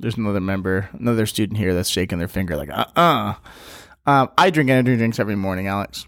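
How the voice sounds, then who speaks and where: Over a very clean recording with a silent background, a man speaks very fast. His pitch is fairly low. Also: lively intonation. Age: 30s. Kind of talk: casual interview.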